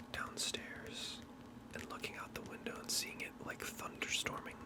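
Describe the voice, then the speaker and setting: Whispering at a moderate pace, a man can be heard against noticeable background noise. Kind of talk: casual ASMR talk to camera. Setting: home recording with background noise (AC, passing cars). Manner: casual, conversational, with fillers.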